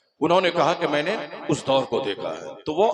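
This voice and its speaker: This is an ordinary speaking voice at a moderate pace. The intonation is lively. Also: man. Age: 50s. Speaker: Islamic scholar and preacher. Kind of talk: religious speech.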